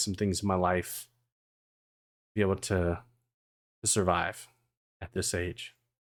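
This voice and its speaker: A man speaks at a fairly low pitch and a moderate pace, with long, frequent pauses. The recording is very clean, with a silent background. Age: 40s. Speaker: VTuber streamer. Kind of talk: casual chat. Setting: live stream. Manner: chill.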